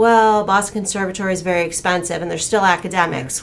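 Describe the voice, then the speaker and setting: Over noticeable background noise, a woman at medium pitch talks at a fairly quick pace in a flat monotone. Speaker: talent agent, former actor and dancer.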